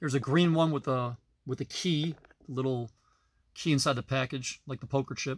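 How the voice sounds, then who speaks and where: Delivering his words at a moderate pace, a man keeps his intonation fairly even. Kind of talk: casual collection tour narration. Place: home room. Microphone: phone near.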